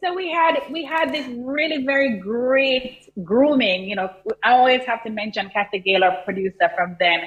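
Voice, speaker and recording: The speaker has a Jamaican accent and talks at a moderate pace with very wide pitch swings. Noticeable background noise runs underneath. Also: woman, high pitch for a woman. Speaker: content creator and business coach. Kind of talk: TV interview.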